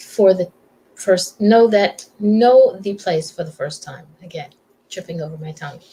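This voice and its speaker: A woman at a medium pitch and a fairly slow pace, with long, frequent pauses, big swings in loudness and ordinary pitch variation. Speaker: talk show host. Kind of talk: casual interview talk.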